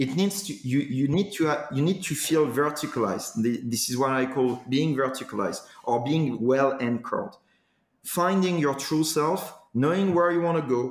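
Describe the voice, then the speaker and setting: Moderately paced and fairly high-pitched, a man talks with ordinary pitch variation in an unremarkable speaking voice. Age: 40s. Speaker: executive coach. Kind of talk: interview.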